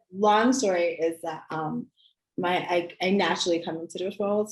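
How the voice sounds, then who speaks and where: Music plays in the background behind a woman's voice. She speaks at a moderate pace with a fairly low pitch. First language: American Sign Language. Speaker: early childhood intervention specialist. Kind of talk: casual interview chat. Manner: hesitant, many fillers.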